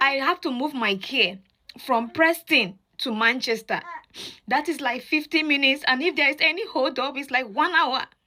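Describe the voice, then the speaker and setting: At a moderate pace, a woman speaks in a raised, projected voice that sits high in pitch. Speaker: mother sharing experience. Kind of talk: testimony.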